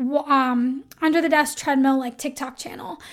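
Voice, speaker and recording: At a moderate pace, a woman with a high pitch and fairly even intonation speaks in a very clean recording with a silent background. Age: 30s. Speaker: podcast host, copywriter. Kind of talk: solo podcast tutorial. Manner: casual, filler-heavy.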